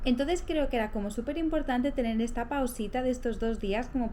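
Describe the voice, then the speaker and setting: A soft-spoken woman with a high voice talks at a fairly quick pace, with audible room echo. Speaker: lifestyle vlogger. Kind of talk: casual vlog talk to camera. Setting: at home. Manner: soft-spoken, speaking quietly.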